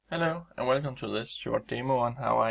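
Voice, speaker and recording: A man with a Danish accent talks at a fairly quick pace. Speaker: trader. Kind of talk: tutorial. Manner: halting.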